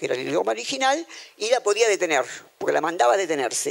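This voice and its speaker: Pitch swinging very widely, a man rattles along at a very fast pace. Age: old. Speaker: philosophy professor. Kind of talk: lecture.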